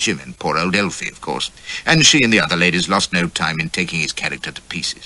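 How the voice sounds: Here the reading is done in a natural voice.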